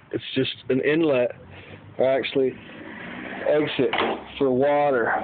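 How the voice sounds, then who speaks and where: A man's flat, monotone delivery at a fairly slow pace, over noticeable background noise. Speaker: home car mechanic. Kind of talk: casual how-to talk to camera. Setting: phone recording, garage.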